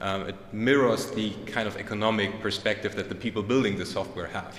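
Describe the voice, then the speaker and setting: A man with a German accent speaks in a fairly low, monotone, flat voice, with audible room echo and noticeable background noise. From Germany. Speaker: conference speaker. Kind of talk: conference talk. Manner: hesitant, many fillers.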